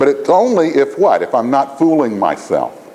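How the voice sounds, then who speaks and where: A man talks in an animated tone. Noticeable background noise runs underneath. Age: 60s. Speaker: education dean and lecturer. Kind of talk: lecture. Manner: animated, conversational with frequent "right?".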